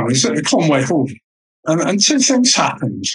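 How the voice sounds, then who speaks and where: The voice has an English accent and a bright, sharp tone. It moves at a fairly quick pace with lively intonation. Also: man. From Mediterranean (raised there, English family). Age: 60s. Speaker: vegan event organiser. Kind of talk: interview.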